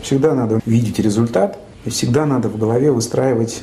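Speaking at a fairly quick pace, a man with a medium pitch uses ordinary pitch variation, and the recording has audible room echo and noticeable background noise. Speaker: hospice head physician. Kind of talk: casual chat. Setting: hospice hall.

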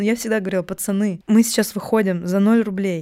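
With ordinary pitch variation, this woman's voice sits at a medium pitch. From Russia, Novosibirsk. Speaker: video production founder. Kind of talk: casual chat.

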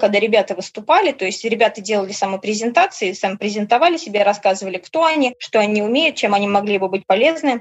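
Her pitch sits fairly high. This woman rushes along at a very fast pace. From Orenburg, Russia. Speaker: tour participant, former factory worker. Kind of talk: casual interview chat. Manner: animated, emotional.

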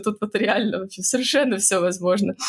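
This is an ordinary speaking voice with fairly even intonation. The pace is fairly quick. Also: woman. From Russia, Saint Petersburg. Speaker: scientist, geneticist. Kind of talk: interview.

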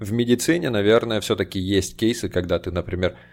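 On a very clean recording with a silent background, a man speaks at a moderate pace with a fairly low pitch. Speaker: podcast host. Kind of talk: casual chat.

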